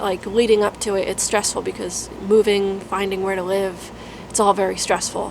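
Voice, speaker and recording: The speaker talks at a moderate pace with monotone, flat intonation. Noticeable background noise runs underneath. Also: woman. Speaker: UX designer and career vlogger. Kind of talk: casual vlog update. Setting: dark room at home.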